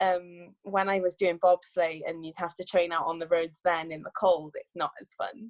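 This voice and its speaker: Speaking with a Cardiff accent, a woman with a fairly low pitch keeps a moderate pace with hardly any pauses, her intonation fairly even while her loudness swings widely. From Wales, Cardiff. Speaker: sprinter and Olympic bobsledder. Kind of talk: interview.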